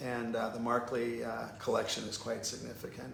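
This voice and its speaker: Noticeable background noise and audible room echo surround a man's speech. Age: 60s. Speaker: painter. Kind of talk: casual chat. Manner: halting.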